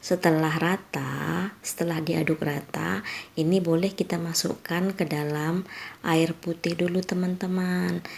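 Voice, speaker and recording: Over noticeable background noise, a woman speaks quietly at a fairly low pitch with fairly even intonation. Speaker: home cooking youtuber. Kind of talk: cooking tutorial voiceover. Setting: late-night voiceover dubbing at home. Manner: quiet, volume kept low.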